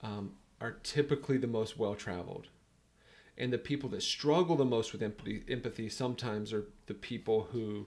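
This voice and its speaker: Medium-pitched male voice with a North Carolina accent, fairly quick pace and ordinary pitch variation, on a very clean recording with a silent background. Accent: Southern US (North Carolina). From US South, North Carolina (Sanford). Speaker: business coach. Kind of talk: podcast interview.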